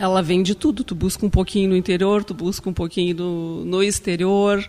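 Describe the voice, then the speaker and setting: With music in the background, a woman speaks at a moderate pace and medium pitch. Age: 40s. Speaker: cancer survivor, chef. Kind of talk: testimony.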